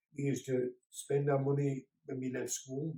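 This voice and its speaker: A somewhat breathy, dark, mellow tone in a Birmingham accent, at a moderate pace. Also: man. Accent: Birmingham (Brummie). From Birmingham, England. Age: 60s. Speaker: grandfather talking to a school class. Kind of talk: home-learning talk for children.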